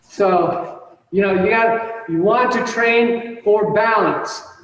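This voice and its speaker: Audible room echo surrounds a man's voice. His pitch is high, with ordinary variation. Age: 50s. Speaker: martial arts instructor. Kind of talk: instruction class. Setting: video call.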